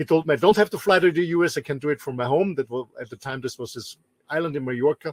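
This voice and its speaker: In an Austrian accent, a man with a fairly high pitch talks at a very fast pace with ordinary pitch variation, his loudness swinging widely in a dry, close sound with no echo. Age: 50s. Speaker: business trainer and show co-host. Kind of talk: self-introduction. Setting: in a motorhome. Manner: halting, repeats words.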